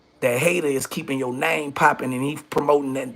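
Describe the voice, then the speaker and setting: A man talking at a fairly quick pace. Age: 40s. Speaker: rapper and YouTube livestream host. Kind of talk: livestream monologue. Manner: animated.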